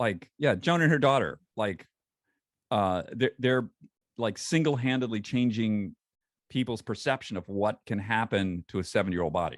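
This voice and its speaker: Lively in intonation, a man with an American accent and medium pitch speaks at a moderate pace in a dry, close sound with no echo and a quiet background. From US, western New York. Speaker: founder of a lifestyle brand for over-50s. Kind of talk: casual chat. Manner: animated.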